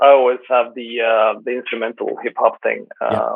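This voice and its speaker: A moderate pace in a Swedish accent. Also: man. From Sweden. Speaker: sports DJ and event presenter. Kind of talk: casual interview. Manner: halting, searching for words.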